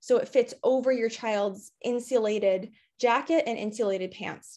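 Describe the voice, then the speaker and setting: In a quiet setting, a woman with a high voice speaks at a fairly slow pace and ordinary pitch variation. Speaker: outdoor preschool educator. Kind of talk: panel presentation. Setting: video call. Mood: friendly, upbeat. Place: home room. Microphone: video call.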